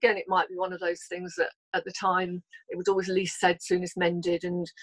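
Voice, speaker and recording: At a fairly quick pace, a woman with an unremarkable speaking voice talks at medium pitch in a dry, close sound with no echo. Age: 60s. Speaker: personal development coach. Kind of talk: interview testimony.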